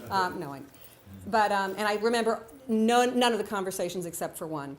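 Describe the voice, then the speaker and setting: A woman with an American accent speaks at a fairly quick pace, her pitch medium and her pitch variation ordinary. Her loudness swings widely, and room echo is audible. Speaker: writer and storyteller. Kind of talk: storytelling on stage. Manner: fast.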